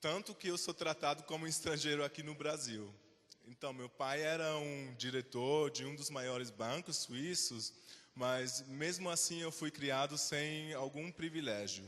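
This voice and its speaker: A man's fairly high pitch with ordinary pitch variation at a fairly slow pace. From Switzerland. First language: Swiss German (speaking Portuguese). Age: 20s. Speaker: invited speaker. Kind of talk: talk to students.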